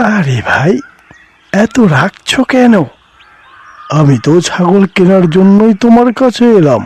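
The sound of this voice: A man performs a cartoonish character voice, high in pitch and slow in pace. His lively intonation carries a slightly mellow tone and a slightly husky edge.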